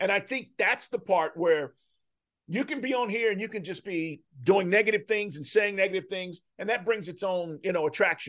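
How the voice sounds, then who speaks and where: Speaking with an American accent, a man uses a high pitch, ordinary pitch variation and a moderate pace. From Texas. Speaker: sports radio host. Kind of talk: casual chat.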